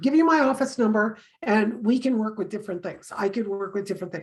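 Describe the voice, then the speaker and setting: A woman talks at a fairly quick pace with fairly high pitch. Her voice is somewhat breathy, with ordinary pitch variation. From Canada. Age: 60s. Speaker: tarot reader. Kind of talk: casual chat.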